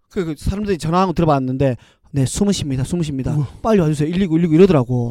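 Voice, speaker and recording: A man's fairly high, animated voice at a very fast pace with ordinary pitch variation. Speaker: podcast co-host. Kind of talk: casual chat.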